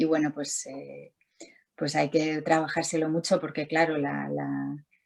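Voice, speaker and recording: Speaking at a fairly slow pace, a woman shows big swings in loudness. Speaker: visual artist. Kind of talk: interview. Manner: halting, many repetitions.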